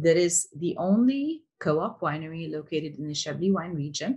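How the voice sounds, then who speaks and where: Over a quiet background, a woman with a somewhat breathy voice and fairly low pitch speaks at a moderate pace. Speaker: interview series host. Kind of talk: host introduction. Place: home room. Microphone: webcam.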